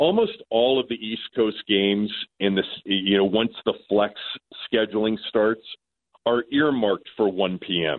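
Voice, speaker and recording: Speaking at a fairly slow pace with ordinary pitch variation, a man has a plain, everyday voice. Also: fairly low pitch for a man. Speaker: sports radio host. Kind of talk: casual chat. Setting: phone call.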